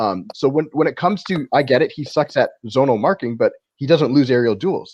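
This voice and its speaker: A man with an ordinary speaking voice and a Canadian accent, fairly high pitch, lively intonation and a fairly quick pace over a quiet background. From Canada. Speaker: football podcast panelist. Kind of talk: casual chat.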